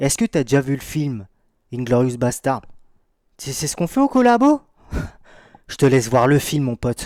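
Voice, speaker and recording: Speaking at a fairly slow pace with long, frequent pauses, a man of medium pitch shows ordinary pitch variation and big swings in loudness. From Brittany. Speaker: streamer. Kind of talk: live stream reaction. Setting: live stream. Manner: animated.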